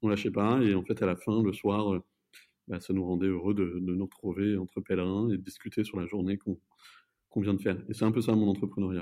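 At a fairly quick pace, a man talks in a fairly low pitch with monotone, flat intonation. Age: 20s. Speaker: entrepreneur coach. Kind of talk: casual chat.

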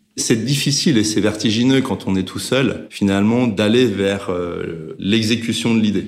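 Audible room echo around a man's fairly slow speech, medium in pitch and with ordinary pitch variation. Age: 50s. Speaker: management consultant and company co-founder. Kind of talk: interview conversation. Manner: hesitant, many filler sounds.

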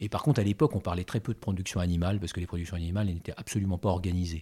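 A fairly low-pitched, somewhat breathy male voice on a very clean recording with a silent background. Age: 60s. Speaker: agricultural cooperative director. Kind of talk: interview. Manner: hesitant, many fillers.

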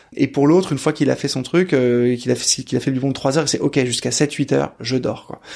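A man talks fairly quickly in a medium pitch, his intonation fairly even and hardly any pauses breaking his speech. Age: 30s. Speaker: father and startup co-founder. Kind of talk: interview testimony. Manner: hesitant, many fillers.

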